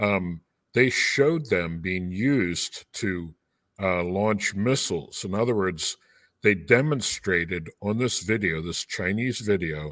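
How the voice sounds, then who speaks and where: A man with an American accent talks at a fairly slow pace in an unremarkable speaking voice, fairly low in pitch with ordinary pitch variation, on a very clean, dry and close recording with no echo and a silent background. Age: 60s. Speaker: pastor. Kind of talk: live podcast discussion.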